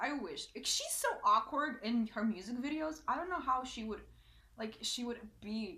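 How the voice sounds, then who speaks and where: A woman speaks at a moderate pace in a fairly high pitch, with very wide pitch swings. Noticeable background noise is present. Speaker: youtuber. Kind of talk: reaction video rant. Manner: loud; animated.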